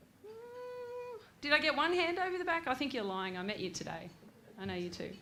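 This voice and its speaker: A woman with an Australian accent is heard with audible room echo. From Australia, Grafton NSW. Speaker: former national soccer player and gym owner. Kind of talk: after-dinner speech. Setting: stage at awards night with audience.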